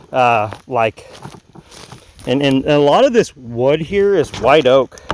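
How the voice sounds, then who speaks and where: A man speaks with ordinary pitch variation. His pitch sits fairly high. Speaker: outdoor equipment YouTuber. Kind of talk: casual vlog narration while working outdoors. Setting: outdoors on rural property. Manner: loud, yelling a bit due to earplugs.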